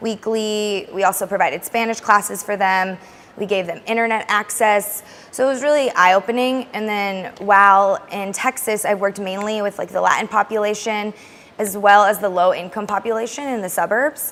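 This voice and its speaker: Fairly quick delivery in an American accent, with fairly even intonation. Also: woman. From US West (Alaska and Arizona). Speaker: language teacher. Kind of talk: interview. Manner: fast; loud.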